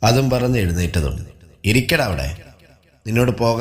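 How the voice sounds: The clip has a natural reading voice. That is the whole description.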